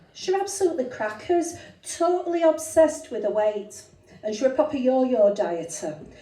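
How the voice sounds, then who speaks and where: The speaker moves at a fairly quick pace with very wide pitch swings. Noticeable background noise and audible room echo are present. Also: woman, high pitch for a woman. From northern England, Rochdale near Manchester. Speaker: comedian. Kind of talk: stand-up. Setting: stage with audience.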